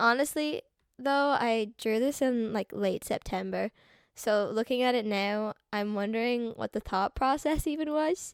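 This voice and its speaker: A woman talks at a fairly slow pace with a fairly high pitch and ordinary pitch variation. The sound is dry and close with no echo, a very clean recording with a silent background. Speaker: artist and video creator. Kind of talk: casual commentary over speedpaint. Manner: casual, rambling with fillers.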